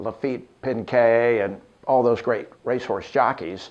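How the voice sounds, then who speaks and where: A man speaks in an American accent. His pace is very slow. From Los Angeles, California, later Arkansas from junior high. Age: 60s. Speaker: radio morning show host. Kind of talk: interview-style personal storytelling. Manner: relaxed, many filler 'uh's.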